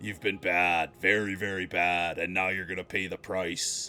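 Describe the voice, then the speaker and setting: Putting on a character voice, a man growls at a very deep, low pitch with monotone, flat intonation. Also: moderate pace. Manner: menacing, dramatic.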